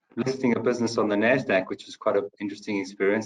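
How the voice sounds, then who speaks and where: The man's delivery is very fast. His pitch stays fairly even throughout. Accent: South African. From South Africa. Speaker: company finance chief. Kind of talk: webinar panel discussion. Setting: online webinar.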